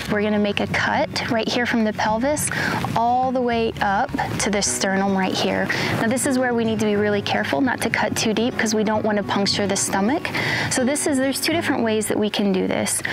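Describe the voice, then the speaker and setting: With music in the background and a dry sound with no echo, a woman talks at a fairly quick pace with ordinary pitch variation. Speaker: wildlife officer instructor. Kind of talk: tutorial. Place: open country.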